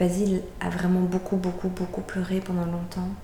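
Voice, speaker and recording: A woman speaks at a fairly quick pace. Noticeable background noise and audible room echo are present. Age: 30s. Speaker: doula. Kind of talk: birth story testimony. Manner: hesitant, many fillers.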